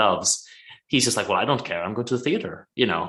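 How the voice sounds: Quiet background, natural reading voice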